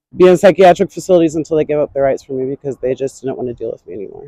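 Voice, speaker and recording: A woman with an American accent speaks at a very fast pace, her tone dark and mellow. Her loudness swings widely over ordinary pitch variation, with a dry, close sound and no echo. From North Carolina. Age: 20s. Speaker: homeless interviewee. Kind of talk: street interview. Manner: halting.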